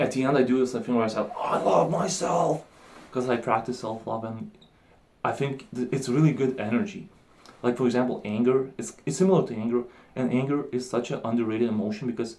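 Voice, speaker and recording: A man mumbles at a fairly quick pace. His pitch is medium. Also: ordinary pitch variation. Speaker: vlogger. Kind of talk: casual vlog monologue. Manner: mumbling; animated.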